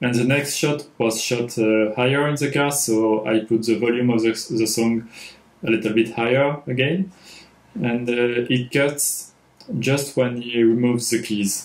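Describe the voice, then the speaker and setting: Fairly even intonation in a French accent, at a fairly slow pace with very even loudness and audible room echo. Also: man, medium pitch for a man. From France. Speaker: filmmaker and sound designer. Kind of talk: tutorial. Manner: halting, many fillers. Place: home room.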